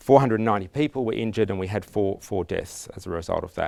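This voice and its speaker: Lively intonation marks this man's speech in an Australian accent. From Australia, Canberra. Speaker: conference speaker on resilience. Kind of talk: conference talk. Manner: halting, many restarts and fillers.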